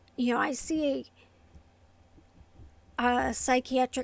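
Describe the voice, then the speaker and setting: A woman speaks quietly at a high pitch. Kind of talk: casual talk to camera. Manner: quiet, hard to hear; hesitant, many fillers.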